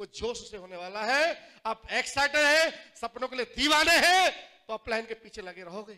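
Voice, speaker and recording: A man speaks in a raised, projected voice at a fairly slow pace. His loudness swings widely over a quiet background. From Jattari, Aligarh district, Uttar Pradesh, India; Uttar Pradesh, India. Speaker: network marketing distributor, former juice seller; former juice seller. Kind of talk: motivational stage speech. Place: hall.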